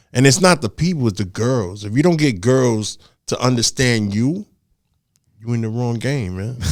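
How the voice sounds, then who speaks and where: A man talks at a medium pitch with a New York accent. His intonation is lively. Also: moderate pace. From New York, the Bronx. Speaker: DJ. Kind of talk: interview. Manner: quiet.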